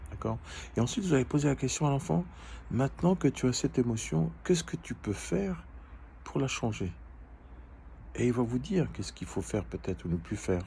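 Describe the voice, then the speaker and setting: A moderate pace broken by long, frequent pauses. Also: man. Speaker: life coach. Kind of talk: educational talk. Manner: halting, hesitant.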